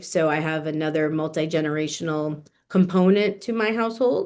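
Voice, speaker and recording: A woman with an American accent uses an unremarkable speaking voice, fairly low in pitch, at a moderate pace with ordinary pitch variation against a quiet background. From New Jersey, US. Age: 30s. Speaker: estate planning lawyer. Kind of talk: interview conversation.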